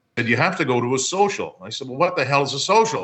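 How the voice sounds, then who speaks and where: A very fast, lively-toned delivery with a Maritime Canadian accent. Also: man. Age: 50s. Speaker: hockey play-by-play broadcaster. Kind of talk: casual interview. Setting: remote call.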